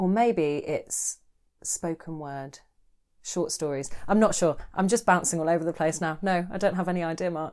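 An unremarkable speaking voice with ordinary pitch variation at a moderate pace. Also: woman, fairly low pitch for a woman. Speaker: podcast co-host. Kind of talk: casual chat. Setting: home studio.

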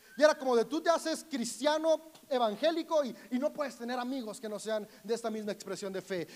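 Amid noticeable background noise, a man speaks fairly quickly with ordinary pitch variation. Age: 30s. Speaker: pastor. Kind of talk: sermon.

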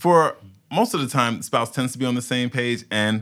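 A man with a New York accent and a bright, sharp tone, in a very clean recording with a silent background. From Brooklyn, New York (Fort Greene). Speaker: paralegal. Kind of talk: podcast interview.

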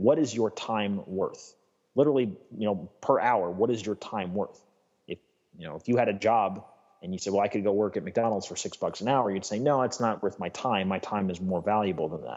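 With an American accent, a man speaks at a fairly quick pace in a plain, everyday voice. His pitch is fairly low and shows ordinary variation. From New York State. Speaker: lifestyle coach. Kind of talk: interview.

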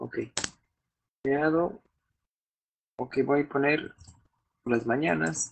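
With long, frequent pauses and a very slow pace, a man with a fairly high pitch speaks in lively intonation. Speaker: podcast host. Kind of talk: casual chat. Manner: halting.

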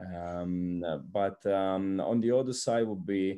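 The voice carries an Italian accent and a dark, mellow tone. The background is quiet. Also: man. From Italy, Naples. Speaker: strength and conditioning coach. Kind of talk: interview. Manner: halting, many fillers.

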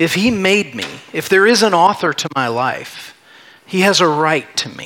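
Over noticeable background noise, a man talks at a moderate pace with a high pitch and lively intonation. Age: 40s. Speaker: pastor. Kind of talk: sermon. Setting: church.

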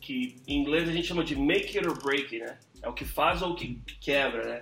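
This man has a plain, everyday voice. He keeps a moderate pace with fairly even intonation. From New York, USA (Brazilian-born). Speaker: podcast host. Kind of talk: casual chat.

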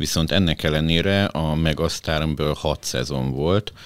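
A man talks at a fairly slow pace with a dry, close sound and no echo, though noticeable background noise comes through. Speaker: podcast host and editor-in-chief. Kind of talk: interview, host introducing.

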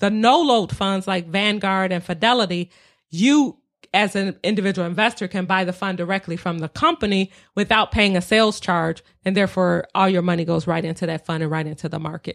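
A woman with an American accent speaks at a fairly quick pace in an ordinary speaking voice, medium in pitch with ordinary pitch variation. The recording is very clean, with a silent background. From Detroit. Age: 50s. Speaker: real estate investor. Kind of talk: casual interview.

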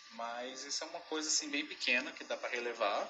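Noticeable background noise is audible. Over it, a man talks. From Belo Horizonte, Brazil. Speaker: dog groomer. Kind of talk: pre-recorded audio contribution.

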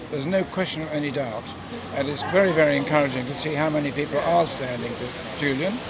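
A fairly quick voice in an English accent amid noticeable background noise. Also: man. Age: 80s+. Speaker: protester. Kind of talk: interview. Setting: outdoors at a rally.

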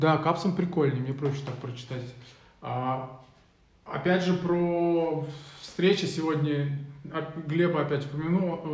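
A man speaks at a very slow pace with long, frequent pauses. His pitch is fairly high and his intonation fairly even. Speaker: podcast host. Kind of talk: casual live chat. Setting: video livestream. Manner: casual, colloquial.

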